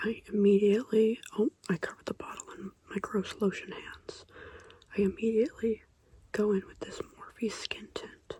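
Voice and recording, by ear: Whispering at a moderate pace, a woman's voice has a husky, rough edge.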